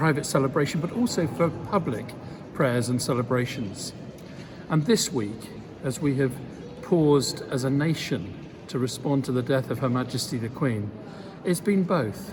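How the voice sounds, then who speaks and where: Speaking at a moderate pace with medium pitch and lively intonation, a man leaves long, frequent pauses. Noticeable background noise and audible room echo are present. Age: 60s. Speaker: bishop. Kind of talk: spoken reflection. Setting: cathedral. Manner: measured, solemn.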